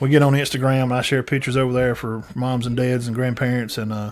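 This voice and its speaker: A man with a Southern US accent speaks at a fairly quick pace and medium pitch. His intonation is fairly even, with noticeable background noise. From US South, northeast Alabama. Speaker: sports podcast host. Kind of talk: casual chat. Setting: live stream.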